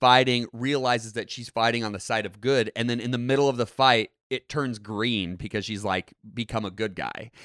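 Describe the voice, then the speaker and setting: On a very clean recording with a silent background and a dry, close sound with no echo, a man with a normal speaking voice and medium pitch talks at a fairly quick pace with ordinary pitch variation. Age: 20s. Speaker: podcast co-host. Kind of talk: casual chat. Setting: studio.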